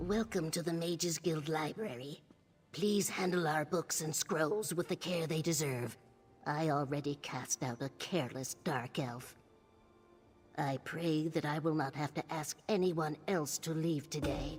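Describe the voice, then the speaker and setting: A put-on character voice at middle pitch moves at a moderate pace with clear music in the background. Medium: video game. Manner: prim, stern, sharp-tongued.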